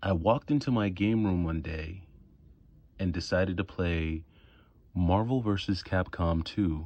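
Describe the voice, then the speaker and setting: A man speaks with a very deep, low pitch and ordinary pitch variation. His pace is fairly slow, and the background is quiet. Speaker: video game collector YouTuber. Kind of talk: casual vlog monologue. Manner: soft-spoken; halting, repeats words.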